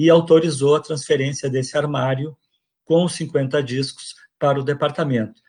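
Over a quiet background, a man speaks in a fairly high pitch, somewhat breathy, with fairly even intonation. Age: old. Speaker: retired music professor. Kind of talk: interview testimony. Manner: halting.

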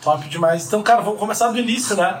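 A man's high-pitched voice with ordinary pitch variation, noticeable background noise and audible room echo. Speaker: podcast host. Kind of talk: casual interview.

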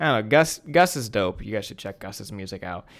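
A man speaks in an ordinary speaking voice, fairly low in pitch, with lively intonation. The recording is very clean, with a silent background. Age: 20s. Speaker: podcast co-host. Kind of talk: casual chat.

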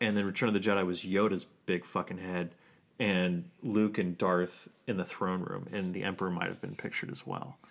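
Man with a very deep, low pitch, moderate pace and fairly even intonation. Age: 30s. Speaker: podcast co-host. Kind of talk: casual chat.

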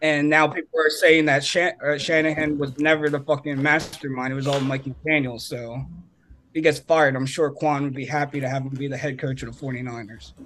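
Over noticeable background noise, a man talks at a fairly quick pace. His fairly high pitch stays monotone, with flat intonation. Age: 20s. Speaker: sports podcast co-host. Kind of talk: casual chat.

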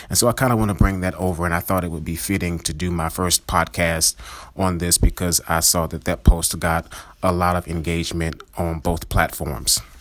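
At a moderate pace, a man speaks with a very deep, low pitch and fairly even intonation. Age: 30s. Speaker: pastor and therapist podcast host. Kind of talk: solo podcast teaching monologue. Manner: hesitant, many filler words.

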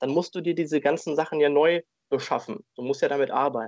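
A man with a normal speaking voice talks at a moderate pace, his pitch fairly high. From Germany, Dortmund, Ruhr area. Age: 20s. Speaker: insurance agent. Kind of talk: interview.

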